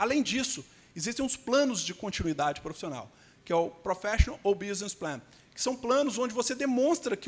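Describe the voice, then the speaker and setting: With a Minas Gerais accent, a man talks at a fairly quick pace in an extremely high pitch with lively intonation. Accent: Minas Gerais (mineiro) Brazilian Portuguese. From Brazil, Belo Horizonte (Minas Gerais). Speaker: immigration lawyer. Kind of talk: conference panel talk.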